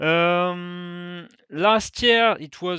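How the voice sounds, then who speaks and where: A man with a non-native accent speaks at a high pitch. His pitch variation is ordinary. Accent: non-native, rusty English. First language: French. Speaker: fantasy cycling youtuber. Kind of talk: video review. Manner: halting, many fillers.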